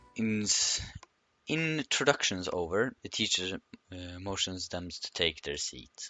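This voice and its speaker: Speaking with a non-native accent, a man talks at a very slow pace. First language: not English. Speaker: gaming youtuber. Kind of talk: reading aloud. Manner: halting.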